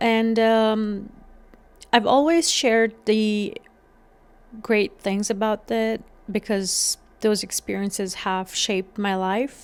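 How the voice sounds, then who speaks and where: Speaking very slowly with long, frequent pauses, a woman with an Afghan accent keeps a fairly even intonation at a fairly high pitch. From Afghanistan (Kabul). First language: Dari. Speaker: podcast host. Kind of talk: solo podcast monologue. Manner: some hesitations and fillers.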